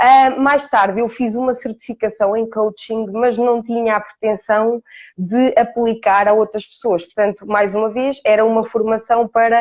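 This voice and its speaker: A woman with a fairly high voice speaks at a moderate speed. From Portugal, Ourém. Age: 40s. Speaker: coach. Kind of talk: interview. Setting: live stream. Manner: hesitant fillers.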